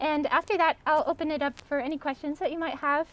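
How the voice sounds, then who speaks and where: A woman with a Montana accent talks at a fairly quick pace in a high pitch. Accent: American (Montana). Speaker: artist. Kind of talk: artist talk. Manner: hesitant, many ums.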